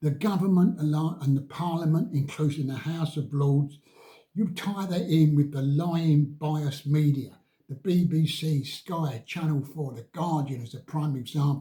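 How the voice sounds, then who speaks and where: Speaking with an English accent, a man with a fairly high pitch and a dark, mellow, somewhat breathy tone keeps a moderate pace and fairly even intonation. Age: 80s+. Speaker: vlogger. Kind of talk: political rant.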